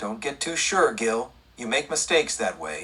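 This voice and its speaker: Doing a put-on character voice, a man speaks at a moderate pace in a medium pitch that swings very widely. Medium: read story.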